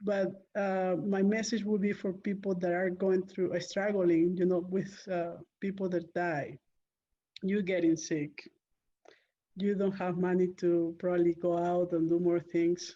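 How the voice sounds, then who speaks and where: A woman with a Spanish accent speaks in a dark, mellow tone at a fairly slow pace, with monotone, flat intonation and very even loudness. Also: medium pitch for a woman. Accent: Spanish-accented English, non-native. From Peru. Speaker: real estate investor. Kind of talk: interview. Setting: call.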